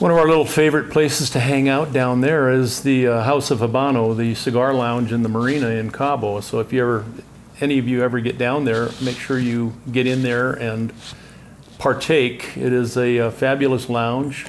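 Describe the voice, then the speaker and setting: In an American accent, the speaker moves at a moderate pace with monotone, flat intonation amid audible room echo. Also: man, medium pitch for a man. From Southern California. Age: 70s. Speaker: podcast guest, retired businessman. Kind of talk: casual chat. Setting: home lounge.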